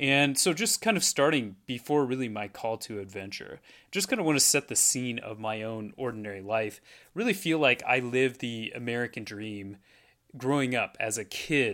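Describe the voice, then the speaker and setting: A man speaks with a West Coast accent at a moderate pace and medium pitch. His tone is bright and sharp, with ordinary pitch variation. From Portland, Oregon. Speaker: life coach. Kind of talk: solo podcast monologue. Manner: repeats words, hesitant.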